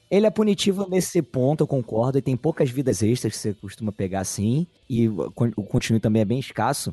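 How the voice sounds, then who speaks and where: Dark and mellow in tone, a man of medium pitch speaks fairly quickly and somewhat breathily with very wide pitch swings, in a dry, close sound with no echo. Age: 30s. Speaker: podcaster guest. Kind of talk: casual chat.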